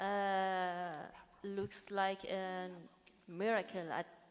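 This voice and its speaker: Woman's medium-pitched voice with a Persian accent. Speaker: poet.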